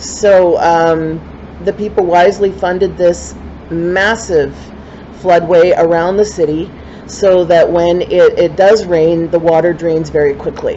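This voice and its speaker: Fairly slow and fairly low, a woman's voice stays monotone and flat with very even loudness, set against noticeable background noise. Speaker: poet. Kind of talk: spoken word introduction. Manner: casual, with fillers.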